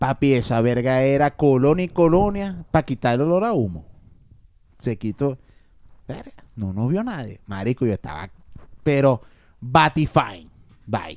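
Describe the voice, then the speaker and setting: Slowish and full of long, frequent pauses, a man's medium-pitched speech shows very wide pitch swings. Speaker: podcast co-host. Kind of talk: casual chat.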